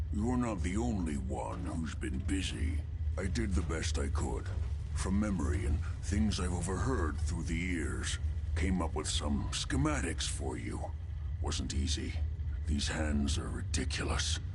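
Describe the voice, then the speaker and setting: Loud background noise sits behind a man doing a put-on character voice. He keeps a moderate pace. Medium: machinima.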